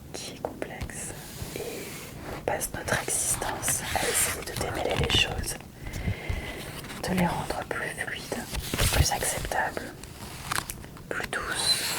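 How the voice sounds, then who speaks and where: A woman whispers at a very slow pace with long, frequent pauses over noticeable background noise. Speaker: magazine journalist and ASMR fan. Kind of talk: ASMR whisper presentation of a magazine. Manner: whispered, soft.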